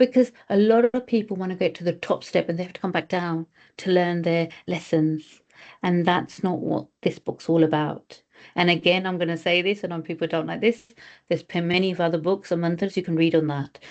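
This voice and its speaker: Talking at a fairly quick pace, a woman uses an ordinary speaking voice, fairly low in pitch with fairly even intonation. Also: quiet background. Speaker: spiritual study group leader. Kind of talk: group teaching on video call.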